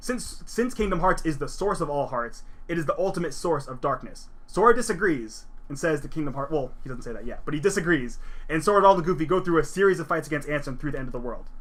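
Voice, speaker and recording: A man with a high-pitched voice talks very fast with lively intonation. Room echo is audible. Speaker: video game presenter. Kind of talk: slideshow recap lecture. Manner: casual, with fillers and self-corrections.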